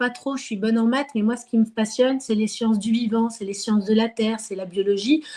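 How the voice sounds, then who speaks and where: This is a woman with a fairly high pitch. Her voice shows ordinary pitch variation. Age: 30s. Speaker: market gardener and former researcher. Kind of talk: interview. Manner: hesitant, many fillers.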